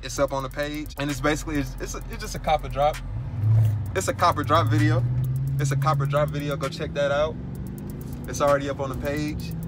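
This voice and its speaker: Music plays in the background as a man talks at a very fast pace. The sound is dry, with no echo. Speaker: sneaker vlogger. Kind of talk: casual vlog chat. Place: car. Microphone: phone near.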